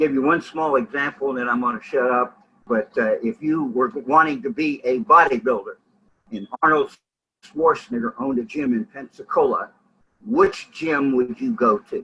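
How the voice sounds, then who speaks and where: Bright and sharp in tone, the voice moves at a moderate pace with lively intonation. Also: man, fairly high pitch for a man. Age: 70s. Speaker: entrepreneur and powerlifting coach. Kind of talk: business pitch with Q&A.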